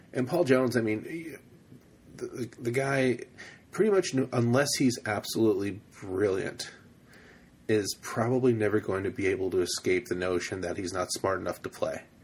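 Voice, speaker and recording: Lively intonation marks this man's medium-pitched, somewhat breathy voice. He keeps a moderate pace. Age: 30s. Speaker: college football podcast host. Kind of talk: casual chat.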